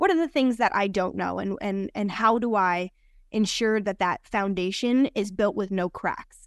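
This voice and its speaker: In an unremarkable speaking voice, a woman talks at medium pitch in a dry, close sound with no echo over a quiet background. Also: ordinary pitch variation, moderate pace. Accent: American. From New Jersey. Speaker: sports broadcaster. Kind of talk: casual interview chat. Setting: video call.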